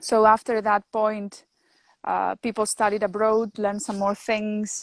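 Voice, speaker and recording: At a moderate pace, a woman with a Greek accent speaks in a fairly high voice, with a dry, close sound and no echo. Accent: non-native English, Greek. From northern Greece. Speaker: winemaker and chemist. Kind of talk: interview. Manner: halting.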